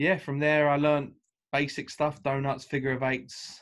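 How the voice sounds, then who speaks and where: Against a quiet background, a man talks at a moderate pace in a monotone, flat intonation. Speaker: remote podcast guest. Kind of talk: interview answer. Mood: cheerful, laughing. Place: home room. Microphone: video call.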